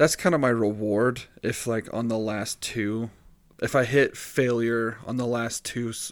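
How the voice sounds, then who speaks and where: A normal speaking voice moves at a fairly slow pace. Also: man. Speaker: podcast host. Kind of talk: casual banter. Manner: deadpan, joking.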